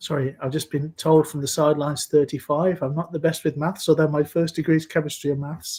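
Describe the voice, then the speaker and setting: Somewhat breathy and fairly high-pitched, a man rushes along at a very fast pace with hardly any pauses and monotone, flat intonation. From Scotland, near Glasgow. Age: 60s. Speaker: health and safety expert. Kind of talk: interview. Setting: video call.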